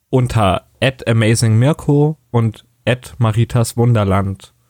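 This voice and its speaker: A man talks in a dry, close sound with no echo. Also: very clean recording, silent background. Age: 20s. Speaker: podcast co-host, customer service worker. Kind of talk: scripted podcast intro.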